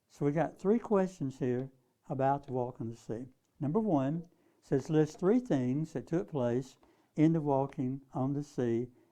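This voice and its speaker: The speech moves at a fairly slow pace in a dark, mellow tone with ordinary pitch variation. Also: man, fairly high pitch for a man. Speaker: Bible teacher. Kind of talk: lecture.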